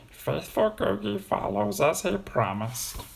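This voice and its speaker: Delivered at a moderate pace, a strained, put-on character voice comes through over light background noise. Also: man, medium pitch for a man. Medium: read story. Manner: rhyming doubled phrases, speaks of himself in third person.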